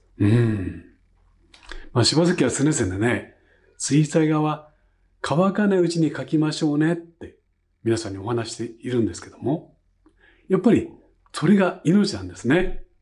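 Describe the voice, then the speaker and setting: A man speaks at a fairly high pitch with vocal fry and very wide pitch swings. His loudness swings widely, and he leaves long, frequent pauses. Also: moderate pace. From Japan. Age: 70s. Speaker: painting instructor. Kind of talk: tutorial. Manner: relaxed, chatty with frequent fillers. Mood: warm, enthusiastic. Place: home room.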